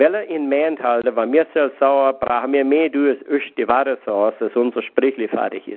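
This man speaks with a fairly high pitch. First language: Pennsylvania Dutch. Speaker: lay minister. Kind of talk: devotional talk. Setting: phone call.

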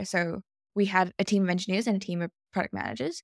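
Very clean and silent in the background, this recording has a woman of medium pitch talking at a fairly quick pace with fairly even intonation, in a dry, close sound with no echo. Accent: Australian. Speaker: product manager. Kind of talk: casual chat.

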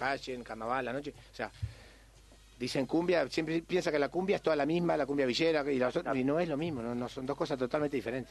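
An ordinary speaking voice goes at a fairly quick pace. Its pitch varies in an ordinary way. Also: man. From Uruguay, Montevideo (Cerro). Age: 50s. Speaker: tropical music singer. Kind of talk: radio interview.

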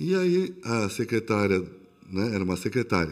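In a very clean recording with a silent background, a man with a fairly low pitch speaks with lively intonation. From São Paulo, Brazil. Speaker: restaurant owner, former corporate executive. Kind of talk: casual interview.

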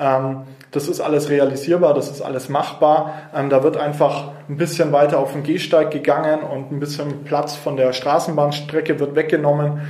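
A man with a fairly high pitch speaks at a moderate pace in a flat monotone, with audible room echo and noticeable background noise. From Nuremberg, Franconia, Germany. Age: 20s. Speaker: local politician. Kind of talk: interview. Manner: hesitant, many fillers.

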